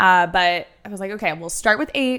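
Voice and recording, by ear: A woman's clear, smooth, nasal voice with a bright, sharp edge and vocal fry, fairly even intonation and a moderate pace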